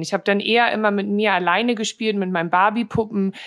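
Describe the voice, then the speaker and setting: Fairly even intonation from a woman at a medium pitch, in a normal speaking voice. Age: 30s. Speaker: model and influencer. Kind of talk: interview. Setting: remote call.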